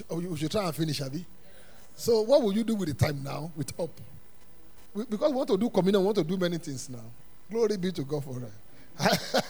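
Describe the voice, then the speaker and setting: A man with a high voice swings very widely in pitch, talking fairly quickly but with long, frequent pauses. The room echo is audible. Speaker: pastor. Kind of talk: Sunday sermon, call-and-response Bible teaching to a congregation. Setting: church service with congregation. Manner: animated, rhetorical questions left for the congregation to fill in; emphatic repetition of punchlines, chuckling between phrases.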